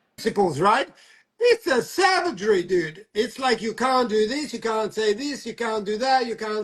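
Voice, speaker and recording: A man with a high voice and lively intonation keeps to a moderate pace. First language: not English. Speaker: talk show host. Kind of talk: casual chat. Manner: halting.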